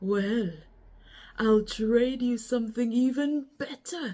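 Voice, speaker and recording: A put-on character voice carries ordinary pitch variation. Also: woman, high pitch for a woman, fairly slow pace. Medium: read story.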